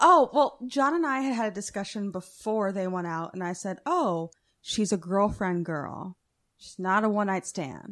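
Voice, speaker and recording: In a very clean recording with a silent background, a woman with an unremarkable speaking voice talks at a medium pitch and moderate pace with lively intonation. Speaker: guest co-host. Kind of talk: casual banter. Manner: teasing, joking, profane.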